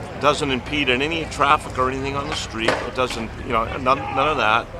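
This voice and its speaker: Amid noticeable background noise, a man with an American accent talks fairly quickly at a fairly high pitch in a monotone, flat intonation. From San Francisco, California. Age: 70s. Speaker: car show attendee. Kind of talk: casual interview. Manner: halting, many fillers.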